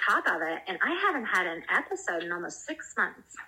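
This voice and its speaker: Amid noticeable background noise, a woman with an American accent speaks in very wide pitch swings. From US South, South Carolina. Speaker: cannabis-using mom, community group organizer. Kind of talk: casual interview.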